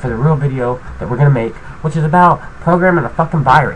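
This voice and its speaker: A man talks at a very fast pace with ordinary pitch variation, over light background noise. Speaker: tutorial maker. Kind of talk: casual vlog chat. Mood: irritated, swearing, ranting. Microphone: webcam.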